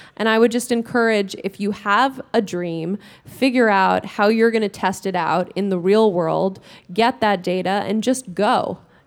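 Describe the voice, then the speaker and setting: A woman with an American accent has a plain, everyday voice at medium pitch and a fairly slow pace. The recording is very clean with a silent background. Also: fairly even intonation. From New York. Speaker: startup co-founder. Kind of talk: panel talk.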